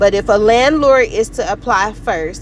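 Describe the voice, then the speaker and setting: Noticeable background noise accompanies the woman as she talks fairly slowly. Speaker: online tutorial presenter. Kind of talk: tutorial.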